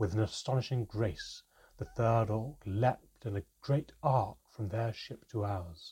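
The speaker uses a natural reading voice. It is delivered as a natural reading voice throughout.

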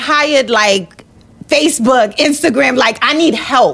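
Against noticeable background noise, a woman speaks at a fairly slow pace. Her voice is high-pitched with lively intonation. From New York (Brooklyn), born in Jamaica. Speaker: entrepreneur, architect. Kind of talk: casual chat.

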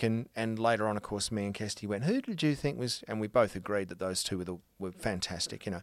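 A man with an Australian accent, fairly quick and lively in intonation, on a very clean recording with a silent background. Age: 40s. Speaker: actor. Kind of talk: casual chat.

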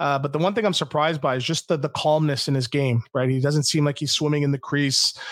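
Speaking very fast with hardly any pauses, a man with a Canadian accent keeps a fairly high pitch, fairly even intonation, and very even loudness. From Quebec. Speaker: former NHL player and guest co-host. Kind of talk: casual sports chat.

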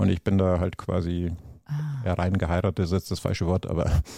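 The tone is dark and mellow, with vocal fry. The sound is dry and close, with no echo. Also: man. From Bavaria. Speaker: entrepreneur and business consultant. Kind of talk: podcast interview.

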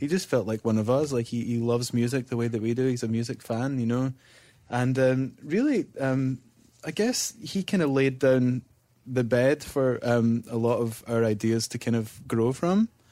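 A man with a Scottish accent, medium pitch, dark and mellow tone, ordinary pitch variation and moderate pace, in a very clean recording over a silent background. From Scotland, Whitburn. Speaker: musician in a band. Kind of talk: interview conversation.

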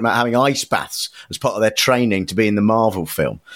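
A man talks at a very fast pace with a British accent. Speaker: podcast host. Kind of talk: casual comedy podcast chat.

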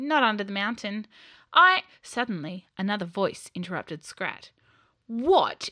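Reading aloud in a natural voice, lively intonation, quiet background.

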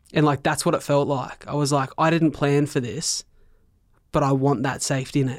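On a very clean recording with a silent background, a man with an Australian accent speaks at a moderate pace in a fairly high, monotone voice with flat intonation. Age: 20s. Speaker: keynote speaker with cystic fibrosis. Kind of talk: podcast interview, personal storytelling.

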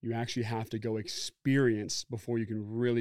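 A normal speaking voice from a man with an American accent, medium pitch, fairly even intonation, and a fairly quick pace, in a very clean recording with a silent background and a dry, close sound with no echo. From Oregon, US. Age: 30s. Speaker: former football player and entrepreneur. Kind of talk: casual interview.

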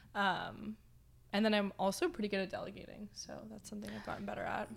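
Vocal fry runs through this woman's voice. She talks at a fairly quick pace in a Canadian accent. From Canada, Toronto. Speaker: production company founder and CEO. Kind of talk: casual interview chat.

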